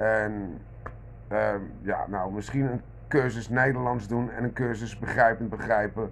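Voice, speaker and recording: Against light background noise, a man speaks at a fairly slow pace with long, frequent pauses. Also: fairly even intonation. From Netherlands. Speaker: vlogger. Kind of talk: monologue rant. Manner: halting, many repeated words. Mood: irritated, ranting. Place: kitchen. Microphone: phone near.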